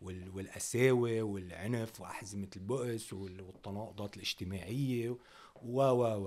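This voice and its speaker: This man has a normal speaking voice with a fairly low pitch and fairly even intonation. He talks at a fairly slow pace, and his loudness swings widely. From northern Lebanon (Tripoli, Dinniyeh). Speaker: rapper. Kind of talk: interview.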